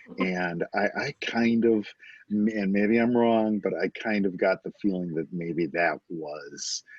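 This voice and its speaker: In a Detroit accent, a man speaks very slowly at a fairly low pitch with ordinary pitch variation. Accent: Inland North American (Detroit). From US Midwest, Detroit area, Michigan. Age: 60s. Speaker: novelist. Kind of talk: podcast interview. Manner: hesitant, many fillers.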